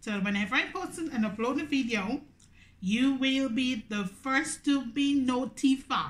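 This woman talks at a high pitch with a Grenadian accent. Her pitch varies in an ordinary way. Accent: Grenadian Caribbean English. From Grenada. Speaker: YouTuber. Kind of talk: mukbang eating video monologue. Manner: animated. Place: home room. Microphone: phone near.

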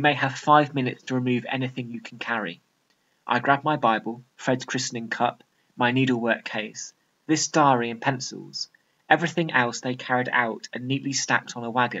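A British accent at a moderate pace. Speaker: A-level English literature teacher. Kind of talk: tutorial; dramatic reading aloud of a fictional extract, acting out the brigadier and narrator. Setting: video. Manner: clear, measured, explanatory.

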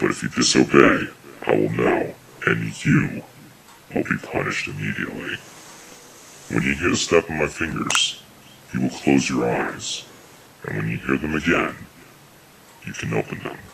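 Pausing long and often, a man with a very deep, low pitch keeps a moderate pace. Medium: voice reel. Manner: calm, menacing, condescending.

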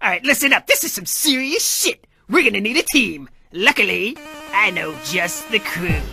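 A man's raised, projected voice at high pitch and a moderate pace, with faint music in the background. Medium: machinima. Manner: blustering, self-important, excuse-making.

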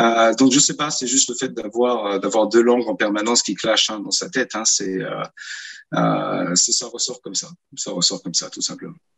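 This man talks at a moderate tempo against a quiet background, his pitch varying in an ordinary way. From France, Paris (born in New York, moved at seven). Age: 40s. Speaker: author; guest. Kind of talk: interview. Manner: hesitant, many fillers and repetitions. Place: home room. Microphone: video call.

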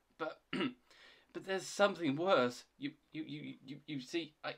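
At a slow pace, a man puts on a shaky character voice with vocal fry and a slightly husky edge, fairly high in pitch with a fairly bright tone and ordinary pitch variation.

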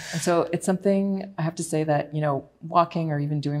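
This woman has a very deep, low pitch with ordinary pitch variation. She talks at a moderate pace. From Montreal, Quebec. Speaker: environmental lawyer and pianist; environmental lawyer. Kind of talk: panel conversation. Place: studio. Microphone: lapel.

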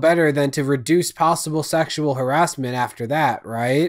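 The setting behind the voice is quiet. A man speaks at a moderate pace. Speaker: commentary youtuber. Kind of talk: commentary. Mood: sarcastic, critical. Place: home room. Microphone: studio mic.

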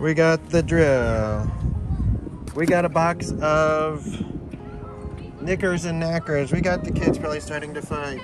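Clear music plays in the background as a man talks at a fairly slow pace with ordinary pitch variation. The sound is dry with no echo. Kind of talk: casual vlog chat. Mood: relaxed, cheerful. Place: waterside. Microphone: phone near.

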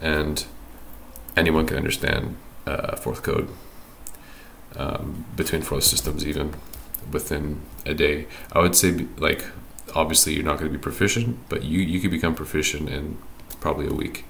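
Over music in the background, a man with a very deep, low pitch speaks at a moderate pace with fairly even intonation and long, frequent pauses. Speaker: hobbyist programmer. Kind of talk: casual screen-recorded programming tutorial.

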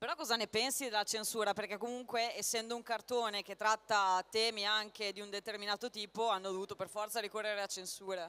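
The pace is fairly quick. Hardly any pauses break it up. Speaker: convention panel moderator. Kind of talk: panel interview. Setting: stage with audience.

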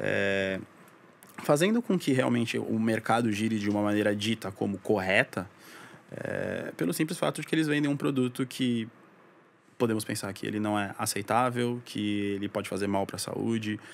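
In an unremarkable speaking voice, a man talks at a moderate pace with a fairly low pitch and ordinary pitch variation. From São Paulo, Brazil, then Santos coast from age 10. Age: 20s. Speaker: advertising professional. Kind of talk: casual interview chat.

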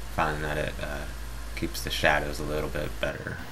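Noticeable background noise runs through the clip. Audible room echo can be heard as well. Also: man. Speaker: video tutorial maker. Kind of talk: tutorial. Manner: halting with many fillers.

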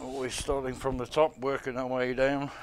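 At a moderate pace, a man is talking. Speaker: shop staff reviewer. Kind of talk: product walkthrough. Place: shop. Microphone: phone near.

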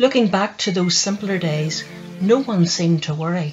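With music playing in the background, a woman speaks in a Northern Irish accent at a moderate pace, her medium pitch showing ordinary variation. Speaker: poet. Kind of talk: poetry reading.

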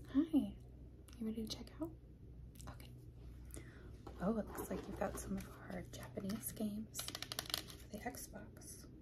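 A soft-spoken woman with a gentle tone talks at a fairly slow pace, leaving long, frequent pauses. Noticeable background noise runs behind her. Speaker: ASMR content creator. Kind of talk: ASMR role play, soft spoken. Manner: soft-spoken, gentle, friendly. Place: home room. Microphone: phone near.

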